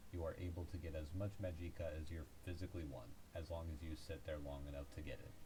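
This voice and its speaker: A man's very deep, low voice at a very fast pace, fairly even in intonation, over noticeable background noise. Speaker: gaming video creator. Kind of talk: game tutorial voice-over. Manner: hesitant, frequent stuttering and filler words.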